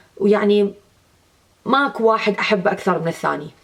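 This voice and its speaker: A fairly high-pitched woman with an Iraqi accent, at a moderate pace with ordinary pitch variation. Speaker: beauty vlogger. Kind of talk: makeup tutorial. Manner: casual, with hesitations.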